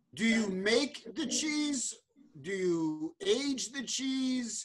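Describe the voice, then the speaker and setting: Very wide pitch swings in an American accent. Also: man. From New York. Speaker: cheese importer and show host. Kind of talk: interview. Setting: video call. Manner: animated. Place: office. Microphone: webcam.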